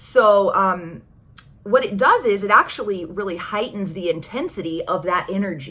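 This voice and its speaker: A woman speaks at a moderate pace, medium in pitch with ordinary pitch variation. Noticeable background noise runs underneath. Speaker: tarot card reader and YouTuber. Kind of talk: casual chat. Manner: stumbling over words.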